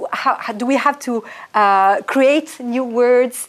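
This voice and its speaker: Over a very clean recording with a silent background, a woman with a French accent speaks very slowly with fairly even intonation. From France. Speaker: historian and author. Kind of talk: interview.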